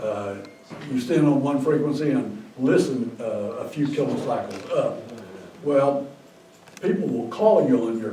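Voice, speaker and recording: Against noticeable background noise and audible room echo, a man with a fairly high pitch speaks with lively intonation. His pace is moderate, broken by long, frequent pauses. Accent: American. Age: 80s+. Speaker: ham radio operator. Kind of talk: casual chat. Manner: halting.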